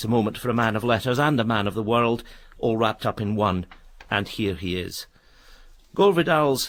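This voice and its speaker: Fairly quick and at medium pitch, the man talks in an ordinary speaking voice with ordinary pitch variation. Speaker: radio presenter. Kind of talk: radio programme introduction.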